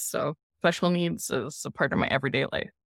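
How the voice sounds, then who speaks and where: Speech comes at a fairly slow rate in an American accent. The audio is very clean, and the background is completely silent. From US West (California and Colorado). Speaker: special education teacher and children's author. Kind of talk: interview.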